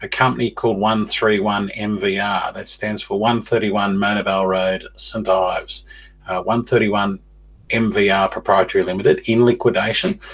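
A man talks in an Australian accent at a fairly slow pace. His pitch is fairly low and his intonation monotone and flat. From Australia, Newcastle NSW. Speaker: podcast host. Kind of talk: monologue podcast. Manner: halting, many fillers. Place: home room. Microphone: webcam.

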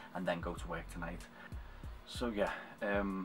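Against clear music in the background, a man speaks at a fairly quick pace in a very deep, low pitch. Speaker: cosplayer vlogger. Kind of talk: casual vlog chat. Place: home room. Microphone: webcam.

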